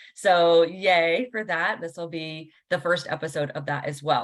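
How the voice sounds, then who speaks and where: With an American accent, a woman speaks at a moderate pace in an unremarkable speaking voice. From Washington, D.C., US. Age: 40s. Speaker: podcast host and spiritual coach. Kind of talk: casual interview.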